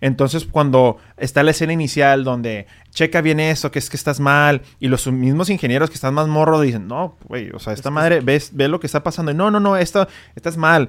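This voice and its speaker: With an ordinary speaking voice, a man talks at a fairly quick pace and a fairly high pitch, showing ordinary pitch variation in a very clean recording with a silent background. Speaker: podcast host, physician. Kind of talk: casual chat.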